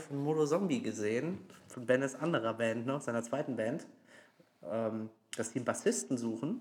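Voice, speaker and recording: A man's lively, up-and-down voice at a fairly quick clip. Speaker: band musician, podcast co-host. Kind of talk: casual chat.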